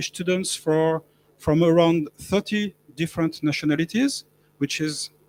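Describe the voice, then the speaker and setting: With a French accent, a man speaks in a fairly high pitch with ordinary pitch variation, the sound dry and close with no echo. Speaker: professor. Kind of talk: panel talk. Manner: halting.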